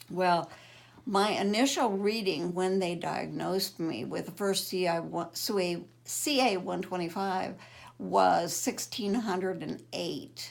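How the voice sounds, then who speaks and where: A woman's medium-pitched voice with vocal fry and ordinary pitch variation, fairly slow, with audible room echo. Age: 70s. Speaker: cancer patient. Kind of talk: testimony.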